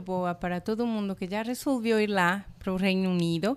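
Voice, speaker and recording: A woman with a Spanish accent talks at a moderate pace, her intonation fairly even. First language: Spanish (speaking Portuguese). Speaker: college international representative. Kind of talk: podcast interview. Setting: podcast recording.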